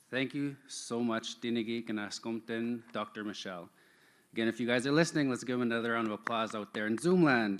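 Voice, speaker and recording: A man speaks at a fairly quick pace in medium pitch. He has a plain, everyday voice. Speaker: event emcee. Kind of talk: live event hosting. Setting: stage at an online-streamed event. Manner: casual, upbeat.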